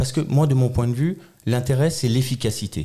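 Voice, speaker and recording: Dark and mellow in tone, a man speaks with a somewhat breathy voice. His pitch is medium, with ordinary pitch variation. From Alsace, France. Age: 40s. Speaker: local politician, election candidate. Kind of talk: political interview.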